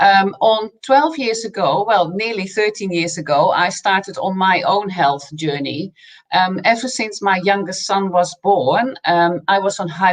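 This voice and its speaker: A woman's medium-pitched voice in a slight Dutch accent, fairly slow, with lively intonation, hardly any pauses and noticeable background noise. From Netherlands. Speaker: nutrition coach. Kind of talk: interview.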